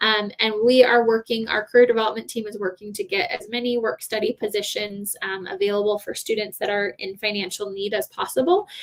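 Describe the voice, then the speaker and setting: A woman talks at a fairly quick pace with hardly any pauses. Her pitch is fairly high, with ordinary pitch variation. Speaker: university support staff answering questions. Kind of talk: live Q&A stream. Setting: live stream. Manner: fast.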